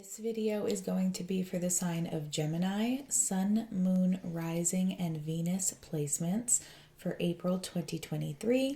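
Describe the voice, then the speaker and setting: Soft-spoken and somewhat breathy, a woman talks at a fairly slow pace with a dark, mellow tone. Her pitch is medium and varies in an ordinary way. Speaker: tarot reader. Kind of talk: tarot reading to camera.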